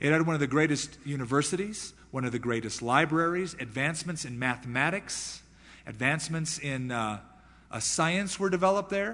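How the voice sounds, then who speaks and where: A man's bright, sharp tone sits at a fairly high pitch, with lively intonation, a moderate pace and audible room echo. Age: 30s. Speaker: pastor. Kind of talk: sermon.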